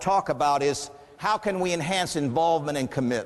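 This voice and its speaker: A man with a fairly high pitch and an energetic, upbeat tone, very fast pace and ordinary pitch variation, over noticeable background noise. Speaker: professional business / motivational keynote speaker. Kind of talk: live keynote speech to an audience. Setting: live audience room, conference. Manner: energetic, upbeat, humorous storytelling.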